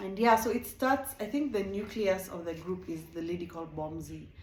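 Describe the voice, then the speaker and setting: Audible room echo carries a woman's fairly low voice as she speaks slowly with a non-native accent and ordinary pitch variation. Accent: non-South African accent, self-noted. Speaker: reality TV reviewer, YouTuber. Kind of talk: casual show review. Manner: animated.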